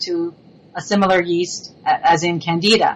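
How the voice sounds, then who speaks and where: A woman is talking. Her voice falls at a medium pitch. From Montreal, Quebec. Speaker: cookbook author and food blogger. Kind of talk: casual chat. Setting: Skype call.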